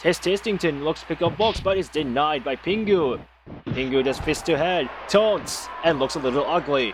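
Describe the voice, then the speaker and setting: Over noticeable background noise, a man speaks at a moderate pace in a playful tone, his fairly high pitch showing ordinary variation. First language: not English. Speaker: amateur stream host doing wrestling commentary. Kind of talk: live commentary. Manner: casual, playful play-by-play.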